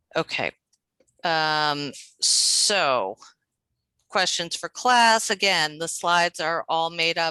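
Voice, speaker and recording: Against a quiet background, a woman speaks very slowly in a bright, sharp tone, the sound dry with no echo. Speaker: adult literacy teacher; teacher presenting to colleagues. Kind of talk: teacher training workshop. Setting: video call. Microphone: video call.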